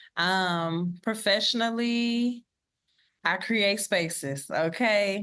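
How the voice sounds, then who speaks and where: A woman's medium-pitched voice at a very slow pace, ordinary pitch variation and a quiet background. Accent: American. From Texas, Beaumont. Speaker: professor. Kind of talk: podcast interview.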